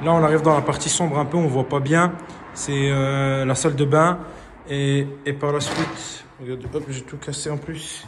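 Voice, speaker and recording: Amid noticeable background noise and audible room echo, a man speaks at a moderate pace in a fairly high pitch with monotone, flat intonation. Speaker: property renovator. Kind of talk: video walkthrough tutorial. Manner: halting, many fillers.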